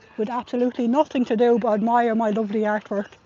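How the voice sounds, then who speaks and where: A voice with an Irish accent comes through with a dry, close sound with no echo. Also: woman. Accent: Irish, viewers remark on it. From Ireland. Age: middle-aged. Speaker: livestreamer and protester. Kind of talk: live stream commentary.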